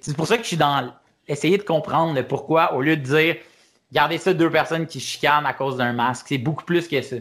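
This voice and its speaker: On a very clean recording with a silent background, a man with a fairly high pitch speaks in an unremarkable speaking voice with ordinary pitch variation. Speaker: stand-up comedian. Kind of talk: casual interview.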